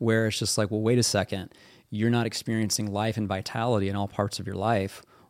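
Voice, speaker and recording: Here a man speaks with a Midwestern American accent. His delivery is fairly quick and monotone, with flat intonation. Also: fairly low pitch for a man, very clean recording, silent background. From US Midwest (central Kansas). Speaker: military veteran and author. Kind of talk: interview conversation.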